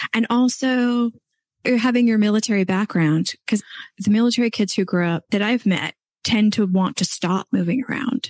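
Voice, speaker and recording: In a dry, close recording with no echo, a woman with a fairly high pitch talks at a moderate pace in a plain, everyday voice with ordinary pitch variation. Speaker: podcast host. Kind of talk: casual interview.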